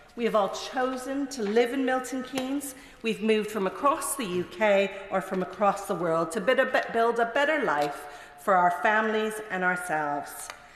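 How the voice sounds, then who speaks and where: Over noticeable background noise, a woman speaks in a fairly high pitch. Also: lively intonation, moderate pace. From Canada. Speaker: member of parliament. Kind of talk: parliamentary maiden speech. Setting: parliament chamber.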